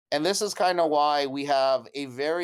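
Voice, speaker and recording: A man with an American accent talks at a fairly high pitch on a very clean recording with a silent background. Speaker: crypto NFT project founder. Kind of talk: casual live audio talk / project pitch. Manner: enthusiastic, frequent filler 'right'.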